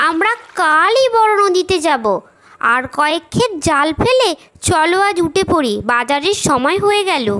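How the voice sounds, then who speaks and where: A female-sounding, cartoonish character voice rises to an extremely high pitch. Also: moderate pace. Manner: scolding, domineering.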